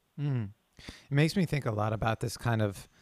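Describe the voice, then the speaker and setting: On a very clean recording with a silent background, a man speaks in a normal speaking voice at a moderate pace. His pitch varies in an ordinary way, and the sound is dry and close with no echo. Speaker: podcast host. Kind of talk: casual interview.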